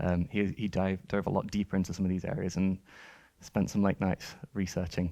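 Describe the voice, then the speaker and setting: Over a quiet background, a man with a very deep, low voice and a dark, mellow tone speaks at very even loudness with fairly even intonation. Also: fairly quick pace. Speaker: technical artist presenter; conference presenter. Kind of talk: conference talk with Q&A. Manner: fast. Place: hall. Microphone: headset.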